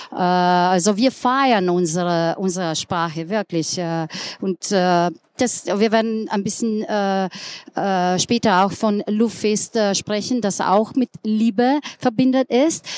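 A woman with a Slovenian accent at a very slow pace, medium pitch and ordinary pitch variation, in a dry, close sound with no echo on a very clean recording with a silent background. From Slovenia, Ljubljana. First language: Slovenian (speaking German). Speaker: tourism director. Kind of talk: panel talk. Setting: live audience at trade fair. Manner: halting.

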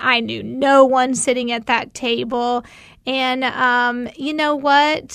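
In a Tennessee accent, a woman speaks with a high pitch and a bright, sharp tone, her intonation monotone and flat, over a quiet background. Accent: Southern US (Tennessee). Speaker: mom and nonprofit volunteer. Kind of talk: casual chat.

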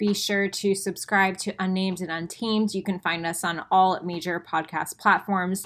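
A woman's unremarkable speaking voice, medium-pitched with ordinary pitch variation, at a moderate pace on a very clean recording with a silent background. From Florida, Tampa. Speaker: podcast co-host, nutrition coach. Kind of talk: casual chat.

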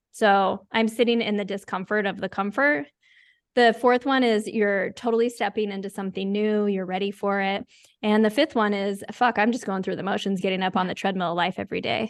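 A woman speaks in an ordinary speaking voice at medium pitch, with fairly even intonation. Her pace is fairly quick against a quiet background. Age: 40s. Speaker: life coach. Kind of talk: casual interview.

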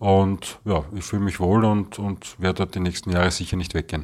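A man's fairly low voice at a very fast pace. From Vienna, Austria. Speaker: resident. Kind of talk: interview.

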